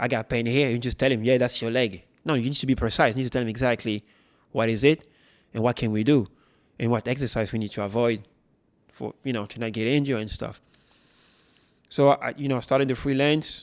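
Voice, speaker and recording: A man with a French accent at medium pitch, very fast in pace yet with long, frequent pauses and fairly even intonation. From France. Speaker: personal trainer, former footballer. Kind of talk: interview. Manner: halting.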